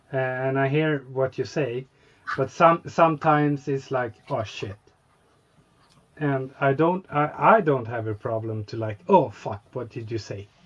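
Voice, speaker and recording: A man at medium pitch and a fairly slow pace, with ordinary pitch variation and big swings in loudness. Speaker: scale model hobbyist. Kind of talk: casual chat. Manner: halting, searching for words.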